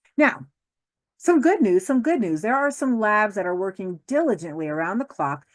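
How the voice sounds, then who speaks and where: A woman speaks with a slight New Jersey accent. Her pitch swings very widely. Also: quiet background. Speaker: law professor. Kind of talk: lecture. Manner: fast; animated.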